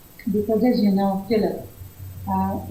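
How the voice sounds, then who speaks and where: Her medium-pitched voice dark and mellow in tone, a woman speaks in a flat monotone with audible room echo around her. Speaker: spiritual healer and teacher. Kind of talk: interview about spirituality. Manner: reflective, with fillers and repetitions.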